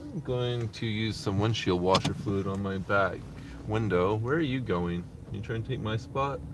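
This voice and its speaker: The speech moves at a moderate pace with ordinary pitch variation. Room echo can be heard. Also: man, fairly low pitch for a man. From Canada. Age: 30s. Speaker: delivery driver live streamer. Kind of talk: casual live stream chat while driving. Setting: in a car. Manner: casual, chatty.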